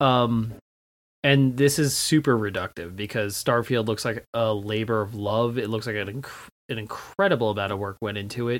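A man speaks in a normal speaking voice at a moderate pace, medium in pitch with fairly even intonation. The recording is very clean, with a silent background. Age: 30s. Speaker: video game podcast guest. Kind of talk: casual chat.

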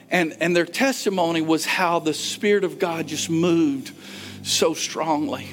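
Over noticeable background noise, a man talks at a fairly slow pace in a high voice with ordinary pitch variation. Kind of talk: fervent closing prayer in a sermon. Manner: earnest, impassioned, repeating phrases with rising urgency.

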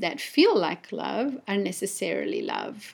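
A woman with an Italian accent is heard on a very clean recording with a silent background. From Italy. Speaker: podcast host. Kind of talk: solo podcast monologue. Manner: hesitant, many fillers.

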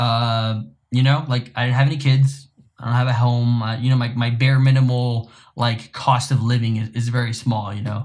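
A man's somewhat breathy, medium-pitched voice at a moderate pace, with monotone, flat intonation. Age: 20s. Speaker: podcast co-host, photographer and videographer. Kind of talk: casual chat.

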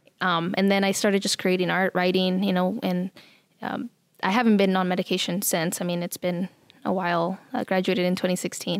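Here a woman with an American accent speaks at a fairly quick pace in monotone, flat intonation. The sound is dry and close, with no echo. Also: medium pitch for a woman. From Nebraska, US Midwest. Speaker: artist and arts council worker. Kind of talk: casual interview chat. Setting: studio.

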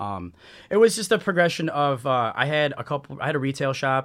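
An unremarkable speaking voice with lively intonation, at a moderate pace. The recording is very clean, with a silent background. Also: man. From US Midwest, Chicago area. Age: 30s. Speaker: entrepreneur. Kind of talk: casual chat.

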